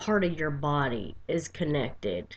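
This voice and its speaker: A soft-spoken woman with a very deep, low pitch and lively intonation. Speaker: vlogger with chronic pain. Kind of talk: personal video diary. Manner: quiet, soft-spoken.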